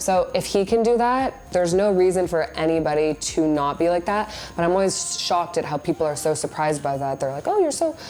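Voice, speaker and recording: Against noticeable background noise, a woman with a fairly low voice speaks fairly quickly with lively intonation. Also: hardly any pauses. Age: 20s. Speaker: social media influencer. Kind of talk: interview. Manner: casual, filler-heavy.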